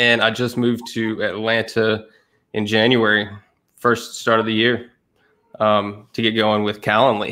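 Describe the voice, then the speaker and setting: Man with a Southern accent, medium pitch and a bright, sharp tone, monotone and flat, fairly slow, with long, frequent pauses. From East Tennessee. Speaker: content marketer. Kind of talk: casual chat.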